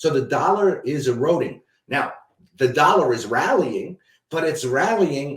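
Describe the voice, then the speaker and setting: With ordinary pitch variation, this man's voice sounds somewhat breathy. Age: 60s. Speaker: commodities trader and analyst. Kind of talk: interview. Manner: halting, with frequent repetitions and fillers.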